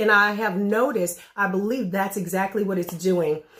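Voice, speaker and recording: Moderate pace with fairly even intonation. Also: woman. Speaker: vlogger sharing weight loss progress. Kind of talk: casual vlog update.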